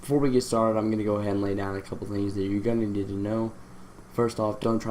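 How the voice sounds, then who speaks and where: A man speaks in a fairly low pitch. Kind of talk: casual screen-recording tutorial talk. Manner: hesitant, stammering with many fillers.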